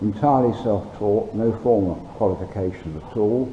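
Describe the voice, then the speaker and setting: Against noticeable background noise and audible room echo, a man speaks at a fairly low pitch with fairly even intonation. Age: 70s. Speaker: hobby machinist and welder. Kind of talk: tutorial. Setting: home workshop. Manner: halting, many ums and uhs. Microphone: poor sound quality from cheap camera.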